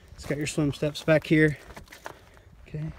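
A man speaks in a monotone with flat intonation and a fairly high pitch. Noticeable background noise runs underneath. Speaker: boat dealer. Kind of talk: product walkthrough. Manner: casual; halting.

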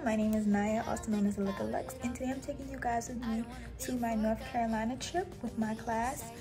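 A woman speaking at a fairly quick pace over background music. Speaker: vlogger. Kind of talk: casual vlog chat. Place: home room. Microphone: phone near.

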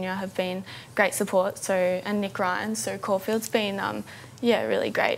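A woman with an Australian accent speaks at a fairly slow pace over light background noise. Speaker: apprentice jockey. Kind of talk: TV interview. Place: studio. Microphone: lapel.

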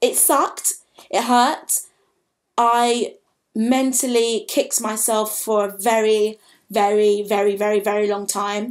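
Against a quiet background, a woman speaks at a fairly slow pace with a fairly high pitch and fairly even intonation. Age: 20s. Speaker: vlogger, drama school applicant; drama school applicant vlogger. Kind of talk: personal vlog monologue. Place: home room. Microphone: webcam.

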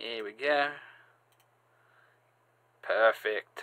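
With lively intonation, a man speaks at a medium pitch in a clear, smooth yet bright, sharp tone.

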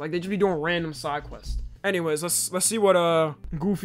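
Faint music plays in the background. Over it, a man speaks at a high pitch. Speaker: streamer. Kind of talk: casual reaction commentary. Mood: playful, joking. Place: home room. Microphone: earbuds.

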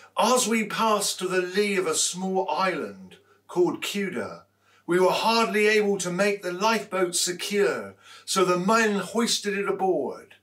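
Over a quiet background, a man talks fairly slowly at a high pitch. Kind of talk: scripture reading. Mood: calm, measured storytelling. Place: hall.

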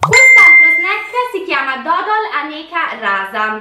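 A woman speaks in a raised, projected voice with audible room echo. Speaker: food reviewer vlogger. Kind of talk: casual vlog chat. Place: home room.

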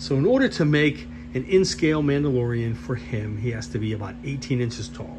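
Noticeable noise sits in the background. The voice belongs to a man. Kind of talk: casual build vlog commentary. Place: workshop. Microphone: phone near.

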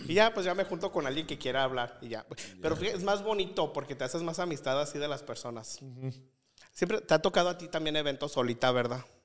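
A man's fairly high voice races along at a very fast pace, his intonation lively. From León, Guanajuato, Mexico; Guanajuato, Mexico. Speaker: social media influencer. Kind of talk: casual chat. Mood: animated storytelling. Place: studio. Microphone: studio mic.

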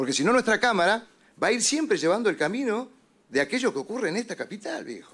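A man's high voice at a very fast pace, with very wide pitch swings. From Argentina, Mendoza; Argentina. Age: 50s. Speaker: politician. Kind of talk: committee speech. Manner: animated. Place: meeting room. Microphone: podium.

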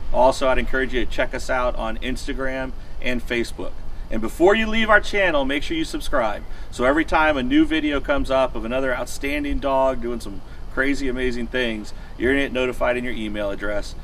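A man speaks fairly quickly with light background noise behind him. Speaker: dog trainer business owner. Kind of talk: promotional outro to camera. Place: street.

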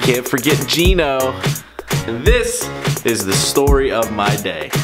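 A man speaking at a very slow pace with clear music in the background. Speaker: airline pilot vlogger. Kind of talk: casual vlog chat.

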